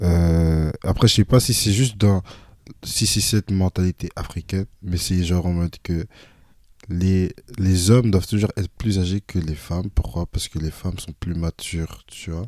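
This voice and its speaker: A man speaks fairly slowly in a very deep, low voice with a dark, mellow tone and fairly even intonation. The sound is dry and close with no echo, and the recording is very clean, with a silent background. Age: young. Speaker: student, younger brother of the host. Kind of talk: casual chat.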